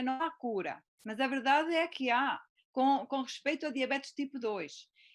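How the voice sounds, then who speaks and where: A woman with a European Portuguese accent speaks in a high voice with ordinary pitch variation. The recording is very clean, with a silent background. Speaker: physician and teacher. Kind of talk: presentation in live interview. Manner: deliberately slowed.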